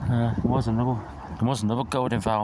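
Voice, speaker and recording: A soft-spoken man with a medium-pitched voice talks in a monotone, flat way, with noticeable background noise and audible room echo. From northwest England, Ellesmere Port. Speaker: bus enthusiast vlogger. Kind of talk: casual vlog narration. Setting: outdoors at bus station. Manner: soft-spoken, talking quietly; halting, many fillers.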